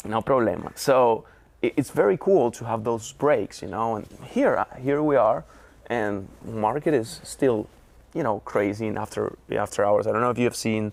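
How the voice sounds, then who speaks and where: A man with a Spanish accent, medium pitch, moderate pace and ordinary pitch variation. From Venezuela, Caracas. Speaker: trader. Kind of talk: interview. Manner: halting.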